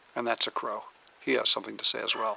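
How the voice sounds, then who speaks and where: Noticeable background noise surrounds a man speaking with an American accent. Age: 70s. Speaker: outdoors and firearms channel host, Marine veteran. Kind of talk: vlog monologue. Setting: outdoors.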